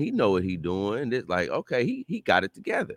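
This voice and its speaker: This man has an unremarkable speaking voice pitched fairly low. His intonation is lively. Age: 30s. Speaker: motivational speaker and podcaster. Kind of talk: interview.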